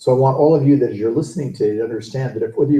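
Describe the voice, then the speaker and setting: This man speaks with a somewhat breathy voice. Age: 60s. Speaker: real estate coach. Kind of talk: interview.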